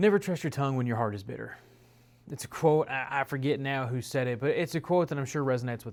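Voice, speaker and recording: Very fast speech from a man at medium pitch, very clean recording, silent background. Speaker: preacher. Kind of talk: devotional talk.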